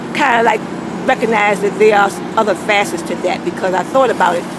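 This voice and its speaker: Noticeable background noise sits behind a woman's voice. She talks at a fairly quick pace in an animated tone. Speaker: video blogger. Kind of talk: casual monologue. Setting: outdoors. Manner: loud.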